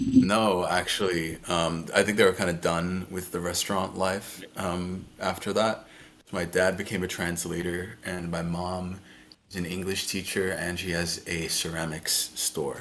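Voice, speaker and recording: Speaking at a fairly slow pace with an English accent, the voice holds a monotone, flat intonation. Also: man, very deep, low pitch for a man. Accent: Americanized English. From France. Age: 20s. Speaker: video game streamer. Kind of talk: casual chat.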